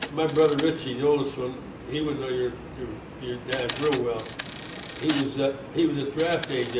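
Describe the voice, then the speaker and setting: A man with an American accent speaks at a medium pitch and moderate pace in a monotone, flat way. Audible room echo and noticeable background noise surround him. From US Northeast, Pitcairn, Pennsylvania. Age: 90s. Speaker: World War II era veteran and local elder. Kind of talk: interview. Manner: halting.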